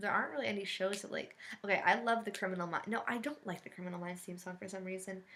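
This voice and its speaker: The voice races along at a very fast pace with big swings in loudness and ordinary pitch variation, against noticeable background noise. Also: woman, medium pitch for a woman. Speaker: LGBT vlogger. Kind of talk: casual chat.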